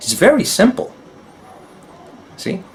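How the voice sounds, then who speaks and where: A man with a Spanish accent speaks over noticeable background noise. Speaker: spiritual teacher. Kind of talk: solo talk video. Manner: halting.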